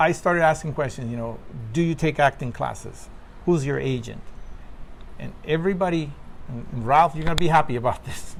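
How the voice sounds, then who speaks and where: A man with a fairly high voice talks at a fairly quick pace. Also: ordinary pitch variation. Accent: Spanish. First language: Spanish. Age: 50s. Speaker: actor. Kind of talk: interview. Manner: halting.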